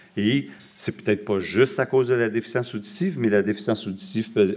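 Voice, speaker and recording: A man with a Quebec accent at a very fast pace. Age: 60s. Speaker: hearing researcher and lecturer. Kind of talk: lecture. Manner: halting.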